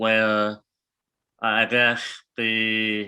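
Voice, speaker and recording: A man speaks at a very slow pace and medium pitch. His tone is bright and sharp, on a very clean recording with a silent background. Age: 30s. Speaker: podcast guest with a craniofacial condition. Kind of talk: interview conversation. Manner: hesitant with many fillers.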